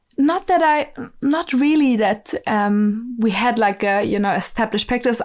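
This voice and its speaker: A woman speaks with a German accent. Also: very clean recording, silent background. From southern Germany (Bavaria), rural. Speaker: musician and ecovillage network staff. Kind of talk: podcast interview. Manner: hesitant, many fillers and restarts.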